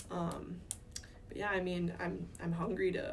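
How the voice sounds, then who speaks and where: Audible room echo hangs in the recording. Through it, a woman speaks. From US Midwest, Minnesota. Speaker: volleyball coach. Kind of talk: interview.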